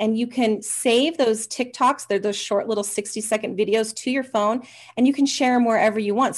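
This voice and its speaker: Her tone energetic and enthusiastic, a woman speaks fairly quickly in a fairly high voice. Her pitch varies in an ordinary way, and the background is quiet. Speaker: hypnotherapist, interview guest. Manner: fast talker; energetic, enthusiastic.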